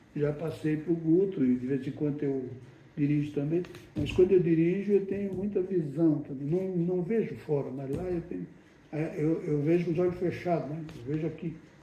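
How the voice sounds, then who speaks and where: Audible room echo surrounds this man's voice. His pitch is fairly high. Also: ordinary pitch variation, moderate pace. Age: 70s. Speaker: spiritist medium and group leader. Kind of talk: casual chat.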